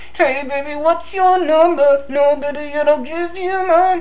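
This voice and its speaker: A man in a put-on character voice at a moderate pace. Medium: solo performance.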